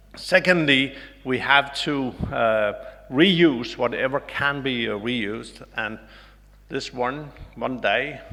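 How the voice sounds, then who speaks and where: A man with a bright, sharp tone speaks very slowly at a medium pitch, with ordinary pitch variation and audible room echo. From Denmark. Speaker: ambassador. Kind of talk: conference speech.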